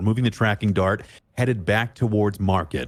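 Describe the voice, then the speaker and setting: In a dramatic tone with vocal fry, a man with an American accent speaks at a fairly quick pace, his fairly low pitch swinging very widely. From Canada. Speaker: esports caster. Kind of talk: live commentary.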